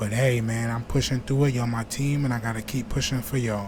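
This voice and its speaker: Over noticeable background noise and audible room echo, a man speaks very fast with an American accent. His medium-pitched delivery stays in a flat monotone. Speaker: YouTube reaction creator. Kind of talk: casual vlog talk to viewers.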